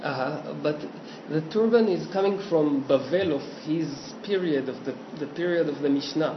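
Moderate pace with an Israeli accent, ordinary pitch variation, audible room echo and noticeable background noise. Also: man, fairly high pitch for a man. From Israel, Petah Tikva. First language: Hebrew. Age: 40s. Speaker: cartoonist and illustrator. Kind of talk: casual interview. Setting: home studio. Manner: halting.

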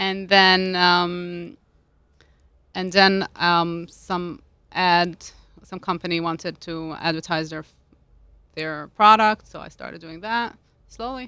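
A woman speaks at a very slow pace with long, frequent pauses and big swings in loudness. Her tone is bright and sharp, on a very clean recording with a silent background. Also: fairly low pitch for a woman, fairly even intonation. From Switzerland, Lugano (Italian-speaking). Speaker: food stylist and cookbook author. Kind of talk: casual chat. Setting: studio.

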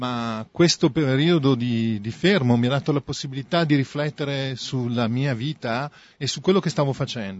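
A man with an Italian accent talks at a fairly quick pace with ordinary pitch variation. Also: medium pitch for a man. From Italy. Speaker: artist. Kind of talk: interpreted interview.

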